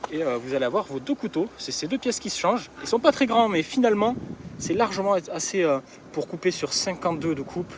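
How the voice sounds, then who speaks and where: The man's voice is high and swings very widely in pitch, with an Occitanie accent. He talks at a fairly quick pace against noticeable background noise. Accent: southern French (Occitanie). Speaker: garden equipment seller. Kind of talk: product demonstration.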